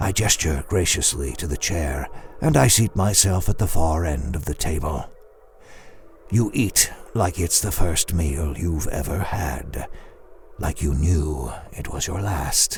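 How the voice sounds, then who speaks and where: A put-on character voice with a menacing tone moves at a fairly slow pace over clear background noise. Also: man, very deep, low pitch for a man. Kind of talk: second-person horror story narration. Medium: audio drama. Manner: slow, menacing.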